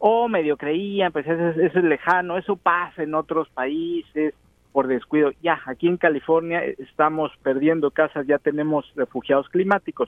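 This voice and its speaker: A man talks with a Mexican accent and hardly any pauses. His pitch variation is ordinary. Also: fairly high pitch for a man, moderate pace. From Mexico. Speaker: field reporter. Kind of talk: live remote report.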